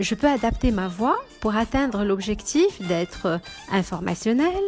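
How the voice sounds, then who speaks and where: Music in the background beneath a woman's voice of medium pitch. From Morocco. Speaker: voice actor. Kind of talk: self-presentation voice demo.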